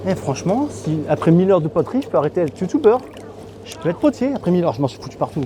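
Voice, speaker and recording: Over noticeable background noise, a man with a high pitch speaks at a very fast pace, with very wide pitch swings and big swings in loudness. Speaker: travel youtuber. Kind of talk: travel vlog with voice-over. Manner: casual, chatty.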